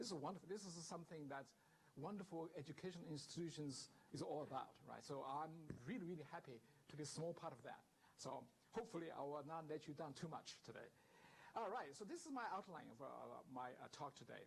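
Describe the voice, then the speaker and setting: A man with a Chinese accent, fairly high-pitched, ordinary pitch variation, fairly quick pace. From southern China. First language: Mandarin Chinese. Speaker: guest lecturer, professor. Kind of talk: lecture. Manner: hesitant, with many fillers.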